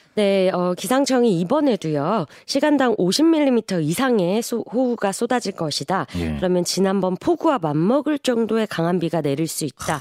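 Her pitch swinging very widely, a woman keeps to a moderate pace. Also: medium pitch for a woman, hardly any pauses, dry, close sound with no echo. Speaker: newspaper reporter. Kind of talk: news report segment.

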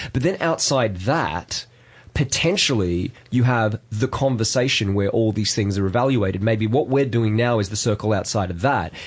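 Using ordinary pitch variation, a man with an Australian accent speaks at a moderate pace in a medium pitch. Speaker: podcast co-host. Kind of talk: casual chat.

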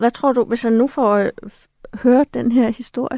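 Recorded with a dry, close sound and no echo, a woman speaks at a fairly slow pace in a high pitch with ordinary pitch variation. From Denmark. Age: 50s. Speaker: author and journalist. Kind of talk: radio discussion. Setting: studio.

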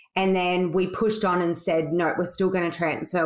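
A woman with an Australian accent talks at a fairly low pitch and a moderate pace. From Sydney, Australia. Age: 40s. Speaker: beauty salon owner. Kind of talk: casual interview chat.

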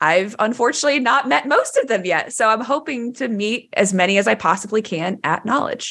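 A woman with an American accent, fairly high pitch and lively intonation, at a fairly quick pace with hardly any pauses, on a very clean recording with a silent background. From Texas, Dallas. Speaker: developer podcast co-host, tech company employee. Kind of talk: casual chat. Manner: loud.

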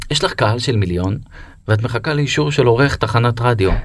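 A man with a medium pitch talks at a moderate pace, his intonation lively. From Israel, Be'er Sheva. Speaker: podcast host. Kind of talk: interview conversation.

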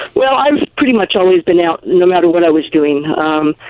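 This woman has an unremarkable speaking voice, fairly low in pitch, with ordinary pitch variation. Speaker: LGBT activist and sheep farmer. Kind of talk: interview. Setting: phone call.

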